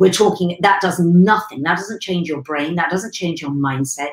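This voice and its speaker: Over audible room echo, a woman talks at a fairly low pitch with ordinary pitch variation. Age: 50s. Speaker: weight management coach. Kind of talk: live stream monologue. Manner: animated. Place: home room.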